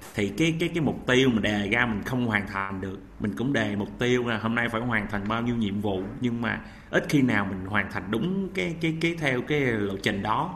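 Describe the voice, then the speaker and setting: Amid audible room echo, a man with a medium pitch speaks at a moderate pace with lively intonation. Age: 30s. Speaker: healthcare worker, audience member. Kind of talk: audience question.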